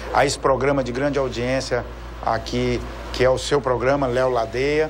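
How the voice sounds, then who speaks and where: A man talks at a moderate pace with very even loudness. Noticeable background noise and audible room echo accompany him. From Brazil, Brasília. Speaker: audit court president. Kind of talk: TV interview.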